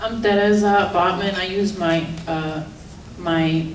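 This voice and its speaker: A woman speaks in a flat monotone with a Czech accent. The room echoes audibly, and background noise is noticeable. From Czech Republic. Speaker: teacher and writer. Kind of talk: public reading and self-introduction. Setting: event with live audience.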